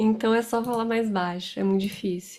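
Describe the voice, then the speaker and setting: A woman's fairly high voice, fairly even in intonation and moderate in pace, on a very clean recording with a silent background. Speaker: astrologer. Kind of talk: astrology forecast talk to camera. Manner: loud; hesitant, many fillers.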